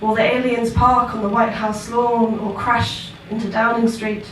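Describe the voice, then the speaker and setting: Audible room echo and noticeable background noise surround the voice. A woman speaks at a fairly high pitch. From southern England. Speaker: performance poet. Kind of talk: spoken word poetry performance. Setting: stage with live audience. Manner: soft-spoken.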